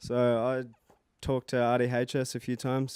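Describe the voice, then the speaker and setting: This man has an Australian accent. His pitch sits in the medium range. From Queensland, Australia. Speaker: rapper. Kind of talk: interview. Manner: shaky, nervous voice.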